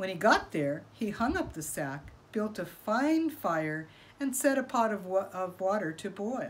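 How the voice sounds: Lively intonation in a natural reading voice.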